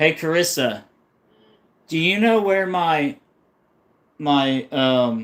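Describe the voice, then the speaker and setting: With an American accent, a man speaks at a very slow pace with long, frequent pauses, a fairly high pitch and lively intonation, on a very clean recording with a silent background. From New England, US. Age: 30s. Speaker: fishing youtuber. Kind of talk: casual live stream chat. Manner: rambling, hesitant.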